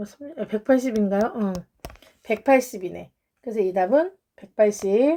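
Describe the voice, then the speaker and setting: A woman talks at a moderate pace with long, frequent pauses. Her fairly high pitch shows ordinary variation. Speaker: math tutor. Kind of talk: lecture.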